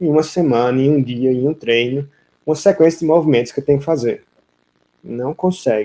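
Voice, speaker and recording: Soft-spoken and fairly quick, a man with a fairly high pitch has a dark, mellow tone. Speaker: vaquejada coach. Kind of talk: live stream Q&A coaching. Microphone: audio too quiet for viewers.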